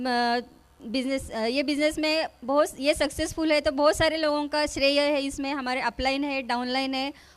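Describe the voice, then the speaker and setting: In a very clean recording with a silent background, a woman speaks in a high voice with monotone, flat intonation. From India, village near Pune. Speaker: network marketing distributor. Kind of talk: stage speech. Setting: stage with audience. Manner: halting.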